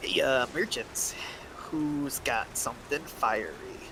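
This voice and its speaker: A put-on character voice moves along at a very slow pace. Loud noise fills the background. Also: man. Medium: actual play. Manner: rambling, casual, repeats filler words.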